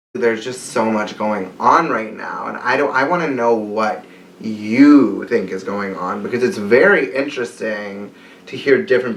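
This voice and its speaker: With noticeable background noise, a man speaks at a moderate pace and medium pitch. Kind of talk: casual conversation.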